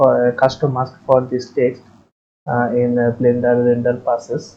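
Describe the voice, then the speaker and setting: A fairly slow, medium-pitched man with a non-native accent. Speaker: 3D software tutorial maker. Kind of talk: screen-recorded software tutorial.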